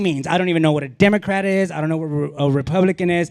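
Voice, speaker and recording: Against noticeable background noise, a man with an American accent speaks in a high pitch. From Laredo, Texas (US–Mexico border). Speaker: comedian. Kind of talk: stand-up. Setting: stage with audience. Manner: animated.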